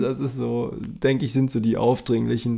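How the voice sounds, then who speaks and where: A man talks at a moderate pace. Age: 30s. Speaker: podcast co-host, van traveller. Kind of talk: casual chat.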